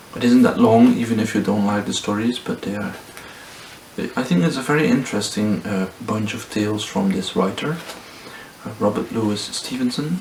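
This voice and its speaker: A man at medium pitch talks, with noticeable background noise behind him. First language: not English. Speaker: booktuber. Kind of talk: casual book review vlog. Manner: hesitant, many fillers.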